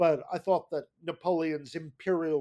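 An ordinary speaking voice from a man with an American accent, a fairly high pitch and a moderate pace. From New Jersey. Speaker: history professor. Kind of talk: interview.

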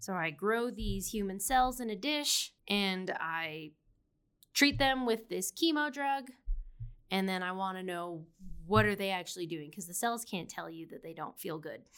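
On a very clean recording with a silent background, a woman speaks in an unremarkable speaking voice at a medium pitch. Her intonation is lively, her pace fairly slow, with big swings in loudness. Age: 20s. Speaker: PhD student. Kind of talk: interview.

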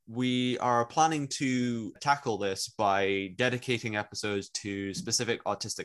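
An ordinary speaking voice from a man at a fairly slow pace, with ordinary pitch variation and a quiet background. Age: young. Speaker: podcast co-host, illustration student. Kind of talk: casual chat.

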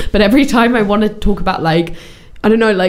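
A woman speaks over noticeable background noise. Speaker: podcast co-host. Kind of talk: casual chat.

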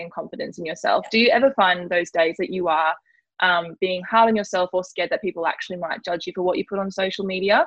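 Speaking at a very fast pace, a woman with an Australian accent keeps a medium pitch with ordinary variation. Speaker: podcast host. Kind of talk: casual interview. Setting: remote call recorded on laptop.

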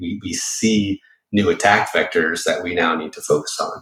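This man talks with an American accent. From Boston area, Massachusetts. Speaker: former Secret Service agent, cybersecurity entrepreneur. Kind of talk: interview.

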